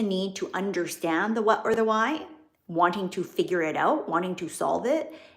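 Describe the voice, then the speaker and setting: A woman of medium pitch with a slight Canadian accent, at a moderate pace. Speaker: business and wealth coach. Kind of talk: live stream talk to viewers. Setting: livestream.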